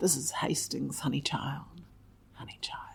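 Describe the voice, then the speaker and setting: Whispering, a woman speaks with a New Zealand accent. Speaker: writer and performer. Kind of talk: casual chat.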